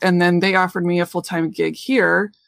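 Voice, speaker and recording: The speaker has a Midwestern American accent. The pace is fairly quick. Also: woman. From central Illinois. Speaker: craft artist and teacher. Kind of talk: interview.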